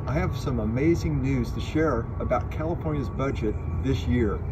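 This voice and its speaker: Noticeable background noise behind a man at a moderate pace. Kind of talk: prepared public statement. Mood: upbeat, earnest. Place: open country.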